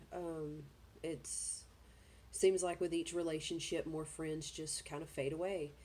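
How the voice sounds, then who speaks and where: In a Southern US accent, a woman speaks with a very deep, low pitch, a dark, mellow tone, vocal fry and monotone, flat intonation. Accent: Southern US, noticeable. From US South, Georgia. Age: 30s. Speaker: vlogger. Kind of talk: personal vlog, life story. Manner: hesitant, many fillers.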